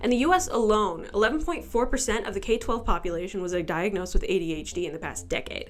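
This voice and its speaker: A woman talks at a very fast pace in a fairly high voice. Her pitch swings very widely over noticeable background noise. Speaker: amateur video essayist. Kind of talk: video essay voice-over. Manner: casual, sarcastic.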